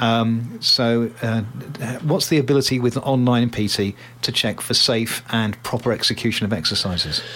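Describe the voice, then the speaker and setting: A man talks at a moderate pace and medium pitch with ordinary pitch variation and very even loudness, over noticeable background noise. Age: 60s. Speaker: radio host. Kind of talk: casual chat.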